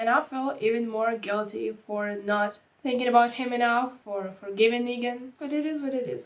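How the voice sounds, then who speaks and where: This woman speaks at a moderate pace with a non-native accent. Her voice is high-pitched with ordinary pitch variation. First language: not English. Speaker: YouTube reaction creator. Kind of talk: reaction video commentary. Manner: animated.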